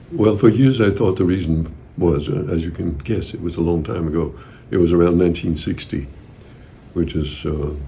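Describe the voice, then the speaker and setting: In a room with audible echo, a man speaks at a moderate pace in a very deep, low pitch with ordinary pitch variation, a dark, mellow tone, and a somewhat breathy sound. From Denmark. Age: 80s+. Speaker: interviewee on therapy experience. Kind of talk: interview. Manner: halting.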